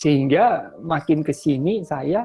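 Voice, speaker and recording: Very wide pitch swings in a man's somewhat breathy voice. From Ambon, eastern Indonesia. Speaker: lecturer. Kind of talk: lecture. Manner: casual, conversational with fillers.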